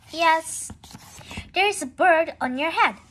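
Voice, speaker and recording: An exaggerated put-on voice, pitched extremely high and delivered rather unhurriedly. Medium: read story. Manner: calm, matter-of-fact.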